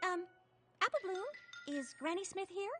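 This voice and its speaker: Music plays in the background. A put-on, squeaky, female-sounding character voice sits at an extremely high pitch for a woman and moves at a moderate pace. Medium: cartoon. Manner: polite, gentle.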